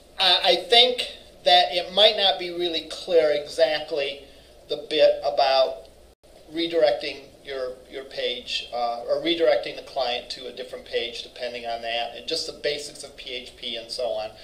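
A man talks at a moderate pace with big swings in loudness, and audible room echo surrounds his voice. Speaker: college instructor. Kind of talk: lecture. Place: classroom. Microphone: camera far.

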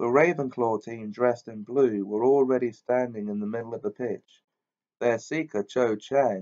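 Plain read-aloud speech, its pitch varying in an ordinary way, over a quiet background

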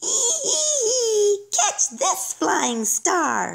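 It is a put-on character voice, squeaky in sound. The pitch is extremely high. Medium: read story. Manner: giggly, taunting.

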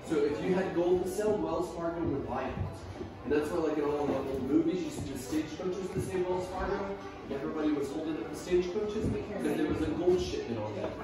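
A man speaks at a very fast pace with ordinary pitch variation. Clear music plays in the background, and the room echoes strongly. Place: shop.

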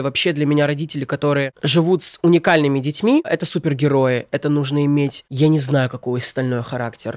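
A man has an ordinary speaking voice, fairly high in pitch, with fairly even intonation at a moderate pace. The sound is dry with no echo, over a quiet background. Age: 20s. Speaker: blogger and comedic video maker; blogger. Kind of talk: casual chat. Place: studio. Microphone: studio mic.

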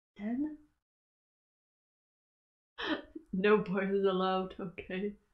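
A woman talks at a very slow pace. Her pitch sits in the medium range.

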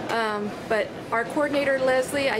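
Noticeable background noise behind a woman talking. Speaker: travel vlogger. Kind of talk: casual vlog chat. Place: station. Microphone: phone near.

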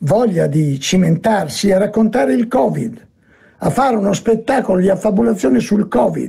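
A man's high-pitched voice with very wide pitch swings, at a fairly slow pace, over a quiet background. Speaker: speaker. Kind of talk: lecture. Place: home room. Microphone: webcam.

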